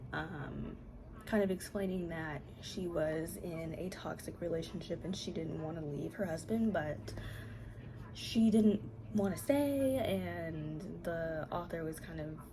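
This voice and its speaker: A woman whispers at a fairly slow pace with vocal fry, and audible room echo surrounds her voice. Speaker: book video creator. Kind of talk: casual vlog talk. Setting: at home. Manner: whispering; hesitant with fillers.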